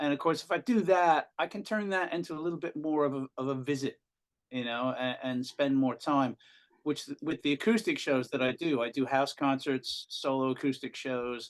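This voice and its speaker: A man with an American accent has a normal speaking voice. He talks at a moderate pace with a fairly high pitch and ordinary pitch variation. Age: 60s. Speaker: rock singer. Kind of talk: casual interview.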